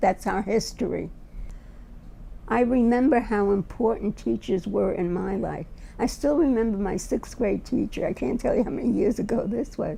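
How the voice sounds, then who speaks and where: A woman with a New York accent, fairly high-pitched yet dark and mellow in tone, with vocal fry, at a moderate pace. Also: ordinary pitch variation. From US, Brooklyn, New York. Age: 80s+. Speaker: retired teacher. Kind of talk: interview testimony.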